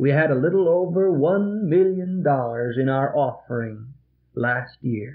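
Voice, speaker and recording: The man's intonation is lively. He talks at a fairly slow pace. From American Midwest (Illinois). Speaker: Presbyterian pastor. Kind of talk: sermon. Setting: vintage reel-tape recording from a church. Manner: earnest, pointed, exhorting. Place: church. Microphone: old recording.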